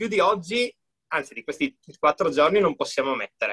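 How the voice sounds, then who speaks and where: The sound is dry and close, without any echo. It's a man talking. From Friuli, northeast Italy. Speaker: gym owner and entrepreneur. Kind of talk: interview.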